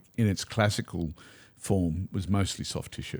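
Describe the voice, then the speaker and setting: A man with an Australian accent speaks at a moderate pace and a fairly low pitch. The recording is very clean, with a silent background. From Australia, Queensland (Toowoomba). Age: 60s. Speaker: spiritual mentor and former osteopath. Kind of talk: podcast interview. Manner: hesitant with fillers.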